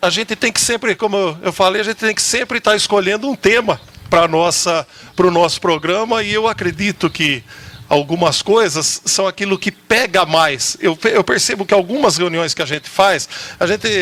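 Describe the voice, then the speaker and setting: A man speaks at a moderate pace in a high voice. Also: lively intonation. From Jaú, São Paulo state, Brazil. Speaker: TV program host at a rehab community. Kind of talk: talk show discussion.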